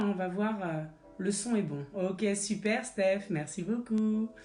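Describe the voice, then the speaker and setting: Music plays behind a woman speaking at a fairly slow pace. The room echo is audible. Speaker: fitness instructor. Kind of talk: live-streamed Pilates class. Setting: livestream from a child's bedroom at home. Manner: instructive, cueing exercises.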